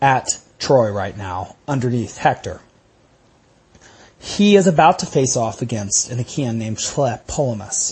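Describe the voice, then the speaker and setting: A somewhat breathy man speaks with an American accent at a medium pitch. His intonation is lively, broken by long, frequent pauses. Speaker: podcast host and lecturer on classics. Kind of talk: lecture. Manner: conversational, with filler words.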